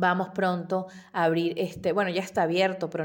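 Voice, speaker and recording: A woman speaks with a fairly low pitch. Her pace is fairly quick. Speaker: podcast host, interior designer. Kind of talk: tutorial.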